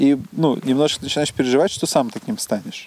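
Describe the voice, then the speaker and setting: Recorded with a dry, close sound with no echo amid noticeable background noise, a man speaks with ordinary pitch variation. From Uzbekistan. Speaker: teacher. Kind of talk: casual chat.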